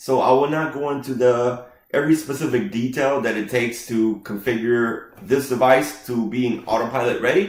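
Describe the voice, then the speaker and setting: With a non-native accent, a man speaks at medium pitch and a moderate pace, with ordinary pitch variation and audible room echo. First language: not English. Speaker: IT consultant. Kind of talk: tech tutorial with live demo. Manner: casual, with frequent fillers.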